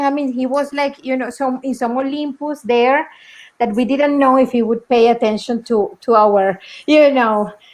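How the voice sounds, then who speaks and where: A woman with a Spanish accent, high pitch and ordinary pitch variation, at a moderate pace over a quiet background. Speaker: documentary film director. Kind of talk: festival Q&A talk. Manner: halting.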